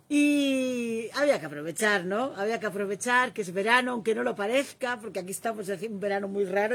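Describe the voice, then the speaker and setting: A woman's medium-pitched voice, lively intonation and a fairly quick pace. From Catalonia. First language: Catalan (speaking Spanish). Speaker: live stream host. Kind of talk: casual conversation on a live stream.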